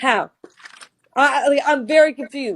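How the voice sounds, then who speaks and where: A woman is speaking. Her pitch is high. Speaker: mother in a custody dispute. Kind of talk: heated discussion. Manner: agitated.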